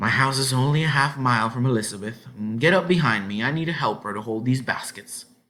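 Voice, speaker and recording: A man's gruff, put-on character voice, medium in pitch, at a very fast pace. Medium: read story. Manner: gruff, suspicious.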